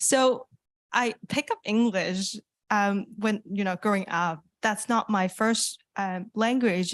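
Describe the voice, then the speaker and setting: A woman with a Cantonese accent at a very slow pace, medium pitch and ordinary pitch variation, dry and close with no echo against a quiet background. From Hong Kong. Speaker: youth internet governance participant. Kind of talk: open mic comment. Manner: hesitant, many fillers.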